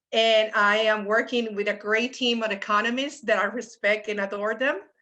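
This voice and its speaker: A woman's bright, sharp voice at a fairly high pitch, moderate pace and fairly even intonation, over a quiet background. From Puerto Rico, San Juan. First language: Spanish. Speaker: economics professor. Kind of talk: panel discussion.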